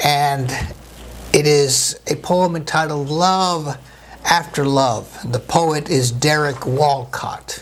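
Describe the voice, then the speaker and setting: Audible room echo surrounds a man's somewhat breathy voice. He has a fairly high pitch and fairly even intonation. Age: 60s. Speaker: pastor. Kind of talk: sermon.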